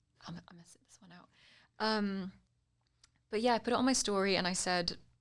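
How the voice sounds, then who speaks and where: A woman with a British accent, medium-pitched, at a fairly quick pace with big swings in loudness. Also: fairly even intonation. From United Kingdom. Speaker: political commentator and social media influencer. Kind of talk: casual political chat. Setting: studio.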